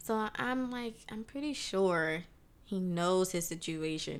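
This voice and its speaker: A woman's plain, everyday voice at a fairly slow pace, with ordinary pitch variation. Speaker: juice business co-owner. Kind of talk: casual chat.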